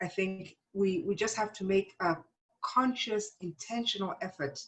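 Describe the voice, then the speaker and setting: A woman with a fairly low pitch speaks in a somewhat breathy voice. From South Africa. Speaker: psychology professor. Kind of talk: interview conversation.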